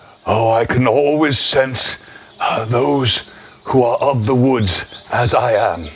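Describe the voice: In a put-on character voice, a man speaks softly and gruffly at a fairly slow pace, his pitch in the medium range.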